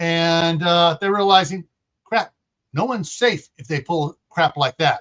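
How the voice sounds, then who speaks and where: Fairly slow delivery, with dry, close sound and no echo. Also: man. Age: 40s. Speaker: retired worker and prepper. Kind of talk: casual chat. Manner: halting.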